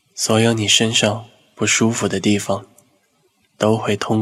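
This man has a fairly low pitch and a calm, soothing tone. He talks at a fairly slow pace. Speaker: hypnotist and psychological counselor. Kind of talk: guided hypnosis. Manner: slow, calm and soothing.

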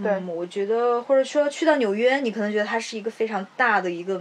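Speaking at a fairly quick pace, a woman uses an ordinary speaking voice at a medium pitch with ordinary pitch variation. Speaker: podcast co-host. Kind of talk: casual chat.

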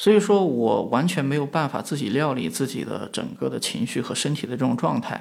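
The voice moves at a fairly quick pace with hardly any pauses, very wide pitch swings and vocal fry. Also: man, fairly high pitch for a man. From western China. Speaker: media founder, entrepreneur. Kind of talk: reflective interview talk. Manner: frequent fillers, hesitant.

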